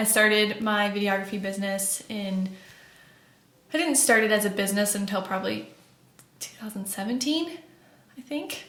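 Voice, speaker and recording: A woman with an American accent talks at a moderate pace and a medium pitch with long, frequent pauses, amid noticeable background noise and audible room echo. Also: ordinary pitch variation. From Florida. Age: 20s. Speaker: podcast co-host. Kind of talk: casual chat.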